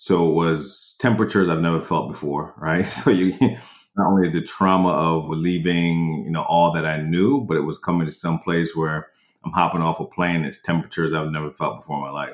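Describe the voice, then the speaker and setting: A man with a very deep, low pitch talks at a fairly quick pace, with hardly any pauses. His intonation stays fairly even. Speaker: guest sharing personal story. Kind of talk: interview, personal storytelling. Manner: reflective, conversational.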